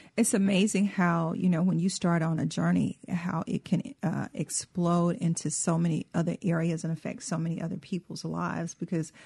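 With a fairly low pitch and a somewhat breathy voice, a woman talks at a fairly quick pace with fairly even intonation. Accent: Southern US. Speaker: cookbook author and co-host. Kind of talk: radio talk show.

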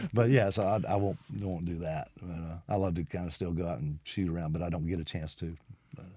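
At a very fast pace, a man with a Mississippi accent speaks in a very deep, low pitch, with a dark, mellow tone and ordinary pitch variation. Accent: Southern US (Mississippi). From Mississippi (Brandon, Jackson area). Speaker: guitarist and guitar teacher. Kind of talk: radio interview.

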